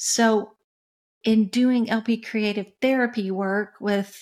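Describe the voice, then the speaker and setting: Over a silent background in a very clean recording, a woman with an American accent speaks at a very slow pace. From West Tennessee, US South. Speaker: music executive and coach. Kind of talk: interview.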